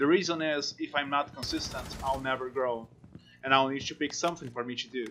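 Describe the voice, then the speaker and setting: Noticeable background noise fills the clip. A man talks at a moderate pace. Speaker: gaming youtuber. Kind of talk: game review narration. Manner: halting speech.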